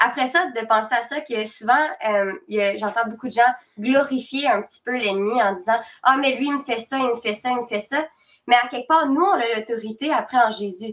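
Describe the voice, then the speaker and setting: This woman has a high pitch with ordinary pitch variation. She talks at a moderate pace. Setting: live stream.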